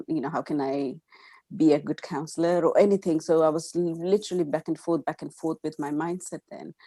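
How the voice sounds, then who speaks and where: A woman with an Indian accent, a dark, mellow tone and a very deep, low pitch, at a moderate pace with fairly even intonation. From India, Gujarat. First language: Gujarati. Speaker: counselor. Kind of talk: interview. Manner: halting, many fillers.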